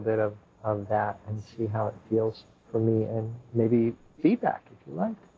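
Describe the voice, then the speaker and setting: In a soothing tone, a man speaks with a fairly low voice. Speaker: sound healing practitioner and meditation guide. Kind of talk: slow guided breathing meditation with grounding-roots visualization. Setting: room with live guests, streamed online. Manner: slow, soothing, drawn-out invitational pacing; casual, chuckling and rambling between segments. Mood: calm, soft-spoken. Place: home room.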